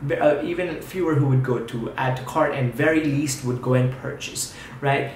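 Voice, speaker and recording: Noticeable background noise and audible room echo surround a man speaking at a medium pitch with fairly even intonation. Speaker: YouTube tutorial creator. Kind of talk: tutorial. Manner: fast.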